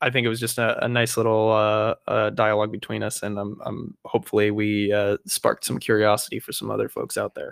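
Recorded very cleanly against a silent background, a man speaks at a fairly quick pace in a dry, close sound with no echo. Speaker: podcast co-host. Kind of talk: casual chat.

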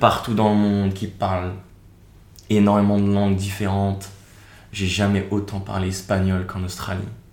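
A man's fairly low, monotone voice at a moderate pace, with long, frequent pauses and audible room echo. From France, Seine-et-Marne east of Paris. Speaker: video creator and traveller. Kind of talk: interview conversation.

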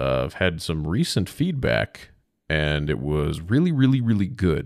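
A man with an American accent speaks at a moderate pace with a very deep, low pitch. Vocal fry shows up, and his pitch swings very widely. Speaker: podcast host. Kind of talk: casual solo podcast monologue. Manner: casual, rambling, profane.

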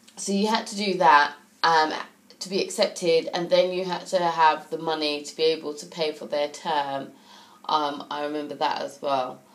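A woman at a very deep, low pitch with fairly even intonation, a moderate pace and big swings in loudness, amid noticeable background noise. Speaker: gaming podcaster. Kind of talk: casual solo podcast monologue. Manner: hesitant, many fillers.

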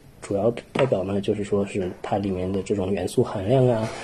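Fairly even intonation from a man over noticeable background noise. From Xining, Qinghai, China. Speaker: soil science doctoral student. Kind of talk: casual interview.

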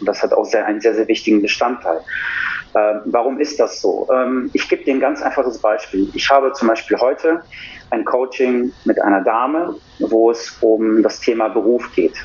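A man holds a very even loudness at a moderate pace, with noticeable background noise behind him. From Germany, Cologne. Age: 40s. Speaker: coach and former personal trainer. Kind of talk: casual conversational interview.

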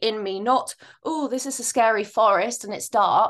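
A woman with an ordinary speaking voice, fairly high pitch, ordinary pitch variation, and a moderate pace, over a quiet background. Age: 30s. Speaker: podcast host and life coach. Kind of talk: casual chat.

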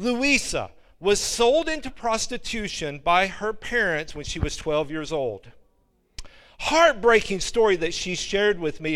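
A man speaks with an Alabama accent at a fairly slow pace. The recording is very clean, with a silent background. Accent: Southern US (Alabama). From Alabama, US South. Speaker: missionary preacher and seminary professor. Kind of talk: sermon. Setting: church with congregation.

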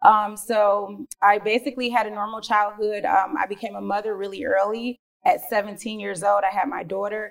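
At a moderate pace with hardly any pauses, an unremarkable speaking voice carries fairly even intonation. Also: woman, medium pitch for a woman, big swings in loudness. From Detroit, Michigan. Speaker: real estate investor. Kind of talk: interview.

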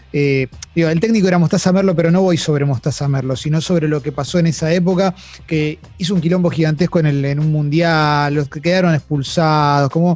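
With an unremarkable speaking voice, a man talks fairly high for his sex, his pitch moving in an ordinary way. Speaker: podcast host. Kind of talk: casual interview.

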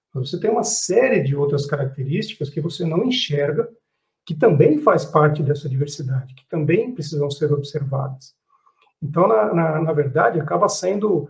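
A man with a fairly high pitch talks at a moderate pace with lively intonation. His voice is somewhat breathy, with big swings in loudness. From Brazil. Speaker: business executive. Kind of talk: panel discussion. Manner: halting.

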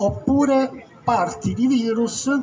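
A man's voice over noticeable background noise. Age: 70s. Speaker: retired doctor. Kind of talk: public talk at a meeting. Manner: halting; animated.

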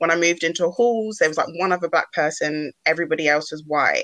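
A woman's fairly low voice with a bright, sharp tone, fairly even intonation and a fairly quick pace. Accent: British. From UK, Ghanaian heritage. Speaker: podcast co-host. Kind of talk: casual chat.

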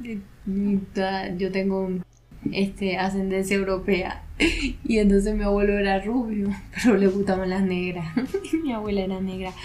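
In a room with audible echo and noticeable background noise, a woman speaks at medium pitch and a fairly slow pace, her intonation fairly even. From Venezuela, Maracaibo (Zulia). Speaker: podcast co-host. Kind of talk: casual chat.

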